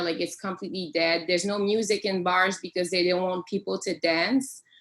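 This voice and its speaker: A medium-pitched woman with a French accent and ordinary pitch variation. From Quebec. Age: 20s. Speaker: professional singer. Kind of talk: casual interview chat. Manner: halting.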